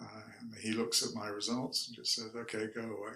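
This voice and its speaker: A man's medium-pitched voice with a bright, sharp tone, some vocal fry, and a fairly quick pace. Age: 70s. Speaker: cancer survivor sharing his story. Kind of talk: interview testimony. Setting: in person, sitting together.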